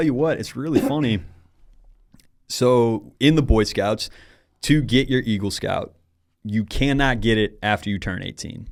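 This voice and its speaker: On a very clean recording with a silent background, a man talks at a medium pitch with ordinary pitch variation. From US Midwest, St. Louis, Missouri. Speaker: cannabis sales manager. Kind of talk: casual podcast interview.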